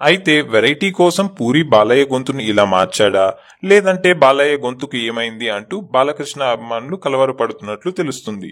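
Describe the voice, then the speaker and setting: A man with a medium-pitched voice makes very wide pitch swings as he talks. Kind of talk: entertainment news narration.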